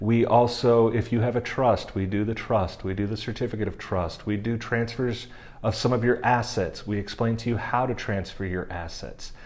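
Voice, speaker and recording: A man's medium-pitched voice at a moderate pace with fairly even intonation and hardly any pauses, over noticeable background noise. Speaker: estate planning lawyer. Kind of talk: explainer video.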